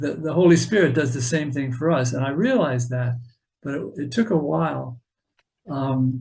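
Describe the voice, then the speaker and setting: Somewhat breathy, a man speaks at a moderate pace, his fairly high pitch rising and falling with lively intonation. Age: 70s. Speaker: author and artist. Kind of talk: casual interview chat. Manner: halting, many fillers.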